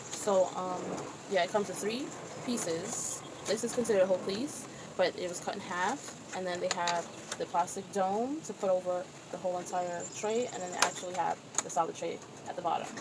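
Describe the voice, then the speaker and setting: A woman at medium pitch talking fairly quickly with ordinary pitch variation and long, frequent pauses, over noticeable background noise. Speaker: chef and home gardener vlogger. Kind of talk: tutorial. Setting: outdoors on a porch. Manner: halting.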